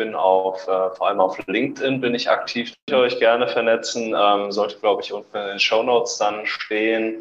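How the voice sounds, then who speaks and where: The man talks at a fairly quick pace. He leaves hardly any pauses. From Germany, Hesse (Wetzlar), raised in Essen. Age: 20s. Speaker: fitness coach. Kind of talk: casual interview.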